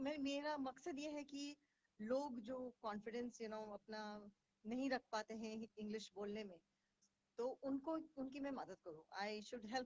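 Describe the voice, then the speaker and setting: Ordinary pitch variation comes through in a dry, close sound with no echo. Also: woman, high pitch for a woman, big swings in loudness. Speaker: English confidence coach. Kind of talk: live stream talk in Hinglish. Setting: Facebook live stream. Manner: hesitant, frequent fillers.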